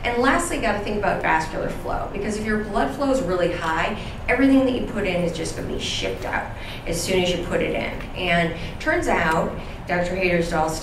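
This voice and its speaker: A woman at a fairly quick pace, with audible room echo and noticeable background noise. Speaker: conference presenter. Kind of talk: lecture. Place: hall.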